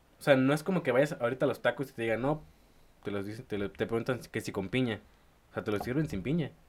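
A man talks at a very fast pace with lively intonation. He speaks with a slight northern Mexican accent. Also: medium pitch for a man. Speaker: podcast co-host, university student. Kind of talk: casual chat.

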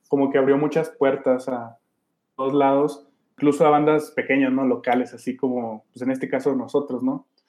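Here a man speaks in a fairly high voice at a moderate pace. His intonation stays fairly even. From Durango, Mexico. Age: 30s. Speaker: former punk band vocalist. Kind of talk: interview. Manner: halting, with frequent repetitions and fillers.

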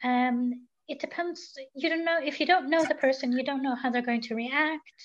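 Ordinary pitch variation from a woman with a high voice, at a moderate pace

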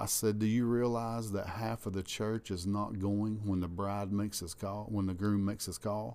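A man talks with a Southern US accent. His fairly low voice stays monotone and flat. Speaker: pastor. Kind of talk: preaching-style casual chat. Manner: loud.

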